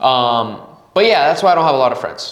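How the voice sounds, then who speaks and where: A man in a Spanish accent, animated in tone, with very wide pitch swings at a moderate pace, in audible room echo. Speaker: podcast host. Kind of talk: casual monologue. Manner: halting.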